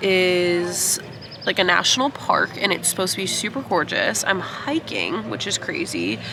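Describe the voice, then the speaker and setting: Noticeable background noise accompanies a woman talking with an American accent. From United States. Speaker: travel vlogger. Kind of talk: casual vlog talk to camera.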